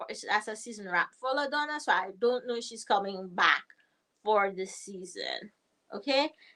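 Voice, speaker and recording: Her tone bright and sharp, a woman talks at a moderate pace with lively intonation. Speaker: TV show recap livestreamer. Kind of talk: live stream recap and chat. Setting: livestream. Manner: animated; loud.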